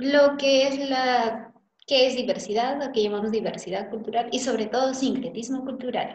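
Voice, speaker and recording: Audible room echo follows a woman speaking at a high pitch and a moderate pace. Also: fairly even intonation. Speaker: teacher playing a student. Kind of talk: classroom dialogue.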